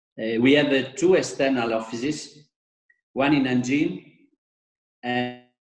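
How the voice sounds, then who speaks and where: There is audible room echo as a man speaks with long, frequent pauses. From Italy. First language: Italian (speaking Indonesian). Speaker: architect and designer; presenter. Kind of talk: lecture. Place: home room. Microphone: video call.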